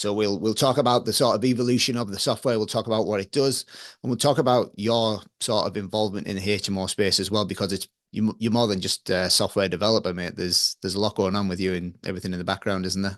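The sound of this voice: A man with a fairly low pitch talks fast, his intonation fairly even.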